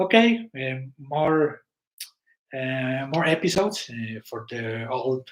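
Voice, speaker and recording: A man speaks very slowly at a medium pitch. His intonation is lively, with big swings in loudness. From Mexico, Guadalajara. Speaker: web series producer and live host. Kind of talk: live stream chat to members. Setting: live stream. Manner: halting, many fillers and restarts.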